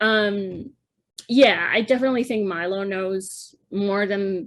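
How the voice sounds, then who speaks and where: Very slow speech in a Spanish accent with ordinary pitch variation. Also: woman. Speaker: podcast co-host. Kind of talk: casual chat.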